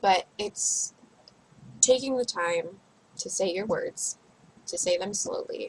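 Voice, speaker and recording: Very slow speech from a woman, broken by long, frequent pauses. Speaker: vlogger on social anxiety therapy. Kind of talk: casual video diary.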